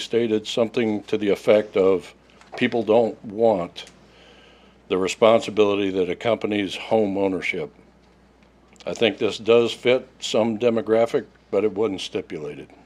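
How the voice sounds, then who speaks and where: With an Oklahoma accent, a man speaks at a fairly low pitch with fairly even intonation. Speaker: resident speaking at public comment. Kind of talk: public comment reading a prepared statement. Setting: city council meeting. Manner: fast.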